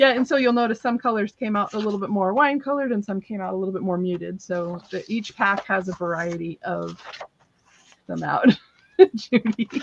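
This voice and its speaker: A woman at medium pitch, ordinary pitch variation, a fairly quick pace and a normal speaking voice. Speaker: crafter selling handmade paper on a live stream. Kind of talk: live sales stream. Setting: live stream.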